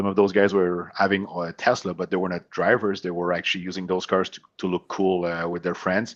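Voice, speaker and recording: Fairly quick and with hardly any pauses, a man with a very deep, low pitch and a French Canadian accent speaks in a monotone, flat intonation over a quiet background. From Quebec, Montreal. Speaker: company CEO. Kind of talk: podcast interview. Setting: remote call from home.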